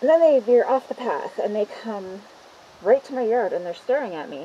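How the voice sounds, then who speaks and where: At a moderate pace, a woman talks with light background noise behind her. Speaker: garden vlogger. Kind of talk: casual vlog chat. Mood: annoyed, venting. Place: garden. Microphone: phone near.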